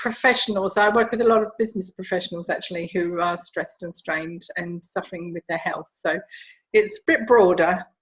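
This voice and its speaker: Speaking at a moderate pace, a woman has a somewhat breathy, medium-pitched voice with ordinary pitch variation. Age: 60s. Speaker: stress and rejuvenation coach. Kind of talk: interview.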